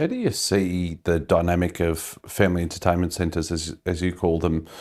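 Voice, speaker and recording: A man with an Australian accent and a very deep, low voice speaks fairly quickly in a flat monotone on a very clean recording with a silent background. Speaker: business interviewer. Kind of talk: interview question.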